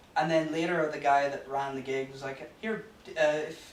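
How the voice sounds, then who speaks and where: Noticeable background noise and audible room echo surround the recording. A man with an American accent talks at a moderate pace. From US (New Jersey), raised partly in Northern Ireland. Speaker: comedian. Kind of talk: casual chat. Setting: studio. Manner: halting.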